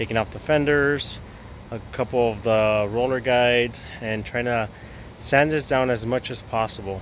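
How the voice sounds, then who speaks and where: Fairly even intonation at a moderate pace, dry with no echo, over light background noise. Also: man. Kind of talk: casual vlog chat. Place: garden. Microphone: phone near.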